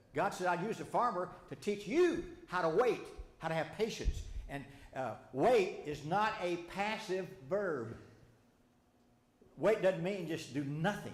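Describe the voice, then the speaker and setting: With a Southern US accent, a man speaks in a high pitch, animated in tone with lively intonation at a fairly slow pace. Audible room echo and noticeable background noise fill the recording. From Arkansas. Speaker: Bible study teacher. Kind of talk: sermon-style Bible study lesson. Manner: animated, conversational with audience questions; halting, with repetitions and false starts.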